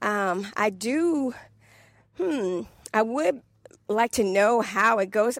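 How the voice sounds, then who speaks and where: With a DC accent, a woman talks in an animated tone at a medium pitch. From Washington DC area. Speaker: podcast host. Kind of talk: casual solo monologue podcast. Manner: conversational, animated.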